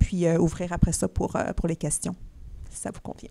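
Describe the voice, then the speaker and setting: A woman with a Quebec accent at a fairly low pitch, dark and mellow in tone, fairly quick in pace, with monotone, flat intonation. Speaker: social entrepreneur, company CEO. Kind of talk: conference talk, onstage conversation. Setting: stage with live audience and online stream.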